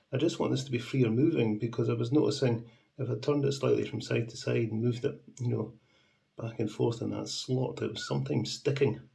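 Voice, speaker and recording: A man speaks with vocal fry and a dark, mellow tone. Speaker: model railway repairer. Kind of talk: casual talk to camera.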